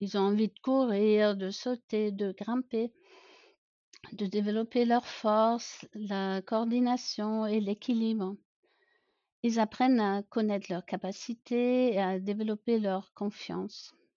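With a slight German accent, a woman talks very slowly at a fairly high pitch in a monotone, flat intonation. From Germany, rural. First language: German (speaking French). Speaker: pediatrician. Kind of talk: podcast interview.

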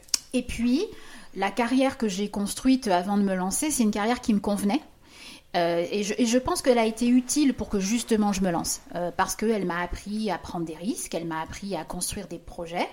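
Fairly quick speech from a woman at a medium pitch, over noticeable background noise. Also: lively intonation. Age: 50s. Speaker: business consultant. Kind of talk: casual chat.

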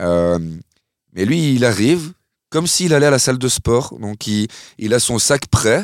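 Recorded very clean with a silent background and a dry, close sound with no echo, a man speaks with lively intonation. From Belgium, Nivelles area. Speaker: club artistic director and DJ. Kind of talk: interview conversation. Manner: halting, many repetitions and fillers.

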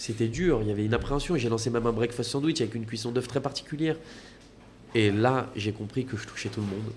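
A man talks at a very fast pace, his voice somewhat breathy. His pitch rises and falls in an ordinary way. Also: medium pitch for a man. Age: 20s. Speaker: restaurant entrepreneur. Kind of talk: casual chat. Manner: animated.

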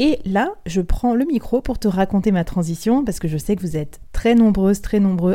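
A woman speaks in a dark, mellow tone. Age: 30s. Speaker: podcast host and freelance sales director. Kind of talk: solo podcast advice talk.

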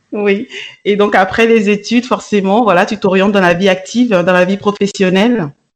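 This is a normal speaking voice at a moderate pace, with fairly even intonation and very even loudness. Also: woman, medium pitch for a woman. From Africa. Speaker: podcast host, radio and TV presenter. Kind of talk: interview.

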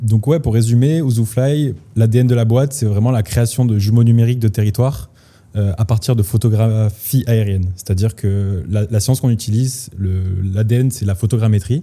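At a moderate pace, a man with an ordinary speaking voice and medium pitch talks with ordinary pitch variation. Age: 20s. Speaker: startup co-founder, surveying engineer. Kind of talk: casual interview.

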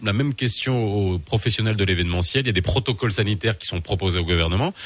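The voice is somewhat breathy, with lively intonation and a very fast pace. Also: man. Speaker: radio host. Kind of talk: morning radio talk show.

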